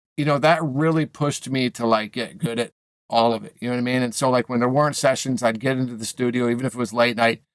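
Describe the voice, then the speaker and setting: In a dry, close recording with no echo, a man with a medium-pitched voice talks very fast with fairly even intonation. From New England, US (Maine and Boston). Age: 40s. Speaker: music producer and mixing engineer. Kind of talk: casual interview chat. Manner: halting, many repetitions and fillers.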